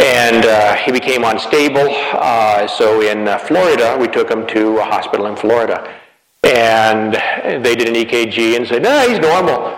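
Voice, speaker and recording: Here a man speaks at a medium pitch and moderate pace. His pitch variation is ordinary. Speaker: family doctor. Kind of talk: lecture. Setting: stage with audience. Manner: informal, hesitant with fillers.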